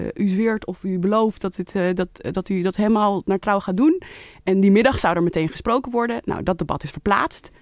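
In a plain, everyday voice, a woman speaks at a moderate pace and medium pitch with ordinary pitch variation, on a very clean recording with a silent background and a dry, close sound with no echo. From Netherlands, Leiden. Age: 30s. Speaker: member of parliament. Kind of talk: interview. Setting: studio.

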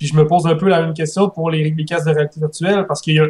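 The intonation stays monotone and flat. It belongs to a man. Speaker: gaming podcast panelist. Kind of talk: casual panel discussion. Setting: remote call over Skype. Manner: halting, repeats words.

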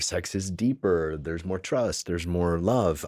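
A man with a very deep, low pitch, dry and close with no echo, on a very clean recording with a silent background. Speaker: men's group facilitator and intimacy teacher. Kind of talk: podcast interview. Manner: calm, relaxing delivery.

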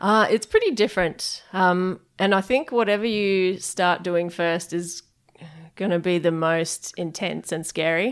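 A woman with an Australian accent speaks at a fairly slow pace and a medium pitch with ordinary pitch variation, on a very clean recording with a silent background. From Perth, Western Australia. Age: 30s. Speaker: head brewer. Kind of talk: interview. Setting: brewpub offices.

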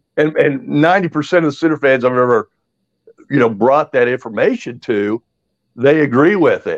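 A man's unremarkable speaking voice at a moderate pace, with ordinary pitch variation and a dry, close sound with no echo. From Indiana (West Lafayette). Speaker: podcast guest, sports commentator. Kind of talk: casual chat.

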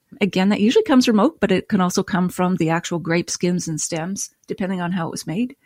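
On a very clean recording with a silent background and a dry, close sound with no echo, a woman speaks at a fairly quick pace, medium in pitch and somewhat breathy. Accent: Canadian. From Nova Scotia, Canada. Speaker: wine writer and podcast host. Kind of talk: casual interview chat.

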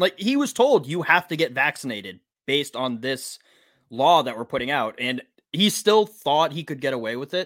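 A man with an American accent speaks at a moderate pace in an ordinary speaking voice, fairly high-pitched for a man, with lively intonation. The recording is very clean with a silent background and a dry, close sound with no echo. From Massachusetts. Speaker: podcast host. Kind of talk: casual chat.

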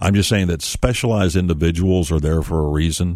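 Talking fairly quickly, this man has an American accent. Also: very clean recording, silent background. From Kentucky, small town. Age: 50s. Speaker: auto repair expert. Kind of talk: radio interview.

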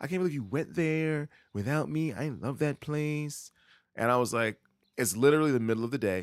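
Here a man talks with a New York accent. His intonation is lively. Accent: New York City. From New York City (Queens). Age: 30s. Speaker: podcast co-host. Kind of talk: casual chat. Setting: remote recording from home.

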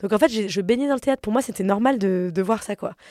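Heard in a very clean, dry, close recording with no echo and a silent background, a woman speaks at a medium pitch with a dark, mellow tone. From Paris, France. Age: 30s. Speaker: comedian. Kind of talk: interview conversation. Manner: casual.

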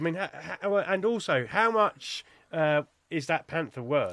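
A man with a British accent speaks with very wide pitch swings. The sound is dry and close, with no echo. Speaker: podcast writer and producer, host. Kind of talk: casual chat. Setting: studio, filmed vodcast.

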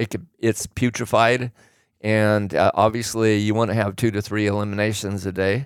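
Over a very clean recording with a silent background and a dry, close sound with no echo, a man with an American accent talks at a moderate pace in a fairly low voice with monotone, flat intonation. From Oregon. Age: 60s. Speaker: host's father, fitness enthusiast. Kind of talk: casual chat.

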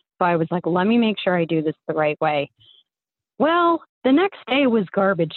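Lively in intonation and fairly quick in pace, a woman talks at medium pitch in an ordinary speaking voice. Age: 30s. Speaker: caller. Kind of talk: storytelling. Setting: phone call.

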